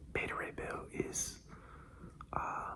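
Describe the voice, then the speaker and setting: Someone whispers over noticeable background noise. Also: man. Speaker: ASMR content creator, comic book fan. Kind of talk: casual talk to camera, ASMR ramble. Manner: soft-spoken, whispered.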